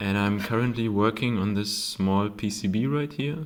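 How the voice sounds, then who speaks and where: A man speaks with a German accent. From Germany. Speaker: hobbyist electronics maker. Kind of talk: casual tutorial. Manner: halting, many fillers.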